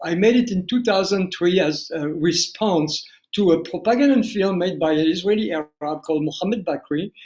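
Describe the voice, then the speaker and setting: A man with a French accent, high in pitch, with a dark, mellow tone, lively intonation and a fairly slow pace. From France (family fled Algeria). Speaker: documentary filmmaker. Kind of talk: interview. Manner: halting, repeats words.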